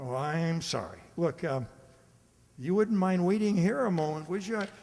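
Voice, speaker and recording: At a moderate pace, the speaker uses a put-on character voice. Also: man, high pitch for a man. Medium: audio drama. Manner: stammering, panicked.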